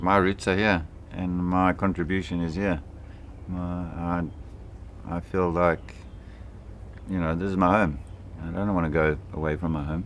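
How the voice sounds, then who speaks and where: A man with a very deep, low pitch talks at a moderate pace with fairly even intonation. Long, frequent pauses break his speech, and the room echoes audibly. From Swaziland. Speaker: interviewee. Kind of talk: interview.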